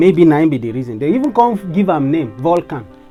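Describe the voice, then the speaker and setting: A man's pitch swings very widely as he talks at a moderate pace, with music in the background. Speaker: science educator. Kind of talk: casual science storytelling to camera.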